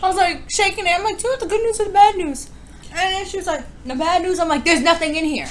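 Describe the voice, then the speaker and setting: Amid noticeable background noise, a woman with a New York accent talks at a very fast pace in an extremely high pitch with ordinary pitch variation. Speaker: mukbang youtuber. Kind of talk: casual chat.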